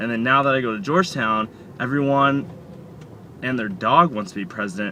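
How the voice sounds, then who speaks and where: Over noticeable background noise, a man speaks at a moderate pace in a medium pitch. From Oklahoma. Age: 20s. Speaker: college student. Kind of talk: casual chat. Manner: casual, filler-heavy.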